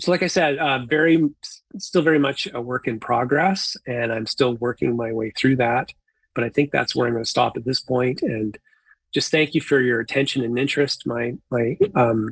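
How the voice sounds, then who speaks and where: In a Canadian accent, the speaker talks at a moderate pace with ordinary pitch variation, and the sound is dry and close with no echo. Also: man, medium pitch for a man. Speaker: conference presenter, environmental scientist. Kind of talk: conference presentation. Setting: conference talk. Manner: halting, with fillers and repetitions.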